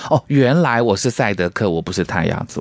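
A man with a Taiwanese accent at a very fast pace, medium in pitch, with lively intonation. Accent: Taiwanese Mandarin. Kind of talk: radio interview chat.

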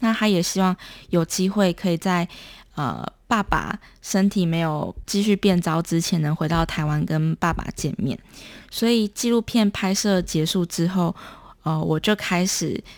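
Her voice is an unremarkable speaking voice, fairly low-pitched with ordinary pitch variation and a fairly slow pace, captured as a very clean recording with a silent background and a dry, close sound with no echo. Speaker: documentary filmmaker. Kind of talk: interview.

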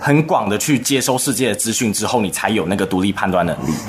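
Noticeable noise in the background, pitch moving in an ordinary way. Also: man. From Taiwan. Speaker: university student. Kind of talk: radio interview.

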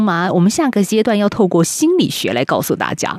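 Lively intonation from a woman with a dark, mellow tone. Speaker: radio host. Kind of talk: radio interview.

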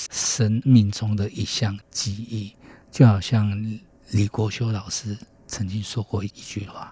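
The background is quiet as a man speaks. His voice is somewhat breathy with a dark, mellow tone. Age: 40s. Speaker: harpist. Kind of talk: radio interview.

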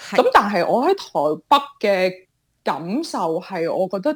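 Very slowly, a woman talks while her pitch swings very widely. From Hong Kong. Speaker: entrepreneur. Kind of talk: interview.

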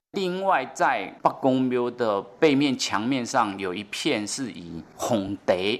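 Very slow speech with very wide pitch swings on a very clean recording with a silent background. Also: man, hardly any pauses. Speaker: village chief. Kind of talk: interview.

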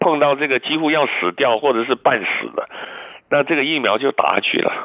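Speaking at a moderate pace, a man has a fairly high voice with ordinary pitch variation. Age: 60s. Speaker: physician and immunology expert. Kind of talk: radio interview. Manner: many fillers and hesitations.

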